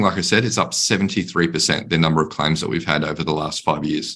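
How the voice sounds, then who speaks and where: A man speaks in an Australian accent with a bright, sharp tone. His intonation is lively. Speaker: panelist on workplace mental health. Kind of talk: panel discussion.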